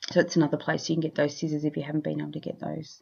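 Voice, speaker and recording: With an Australian accent, a woman is talking. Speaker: scrapbooking YouTuber. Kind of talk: craft tutorial voiceover. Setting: home studio voiceover. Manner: loud and clear. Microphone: new separate microphone, recent sound muted.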